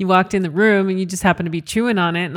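Recorded very cleanly against a silent background, a woman with a Western Canadian accent speaks at a fairly low pitch with ordinary pitch variation. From Canada, Calgary, Alberta (Italian household). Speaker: podcast co-host. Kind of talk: casual chat.

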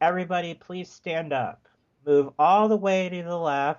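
Using a put-on character voice, a man speaks at a high pitch and a moderate pace with fairly even intonation. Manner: weird and dramatic.

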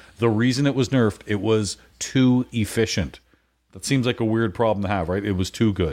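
In a Canadian accent, a man talks at a moderate pace with a fairly low pitch and ordinary pitch variation, a normal speaking voice. The recording is very clean, with a silent background. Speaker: pinball podcaster and tournament organizer. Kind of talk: casual chat.

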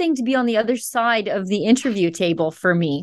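In a western Canadian accent, a woman speaks at a fairly quick pace with very wide pitch swings. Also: quiet background. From Alberta, Canada. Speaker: journalist. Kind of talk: interview.

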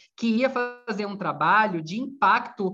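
A man's raised, projected voice at a fairly slow pace, with music in the background. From Bahia, Brazil. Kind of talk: casual chat.

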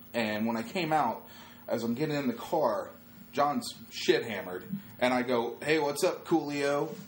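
Here is a man with an unremarkable speaking voice and fairly high pitch. He talks at a moderate pace with lively intonation. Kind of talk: animated storytelling, tour-guide-style patter.

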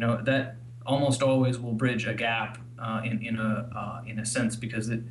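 Speaking with an American accent, a man keeps a moderate pace at a medium pitch. Noticeable background noise can be heard. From Missouri, US. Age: 30s. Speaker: listener couple guest. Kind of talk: interview.

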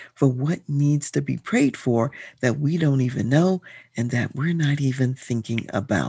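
A woman with an American accent speaks in a very deep, low, dark and mellow voice with very wide pitch swings, dry and close with no echo over a quiet background. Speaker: podcast host and leadership consultant. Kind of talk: sermon-like devotional talk, leading prayer. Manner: earnest, fervent; measured, formal.

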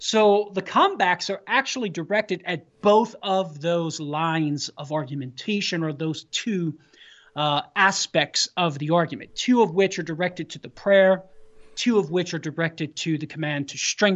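At a moderate pace, a woman with an unremarkable speaking voice talks in a fairly low pitch, with ordinary pitch variation and big swings in loudness. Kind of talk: radio interview, apologetics talk.

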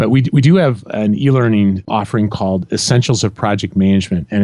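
A man with a Midwestern American accent talks at a very fast pace in a dark, mellow tone with ordinary pitch variation, recorded dry and close with no echo. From central Illinois. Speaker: leadership and project management coach. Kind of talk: interview conversation.

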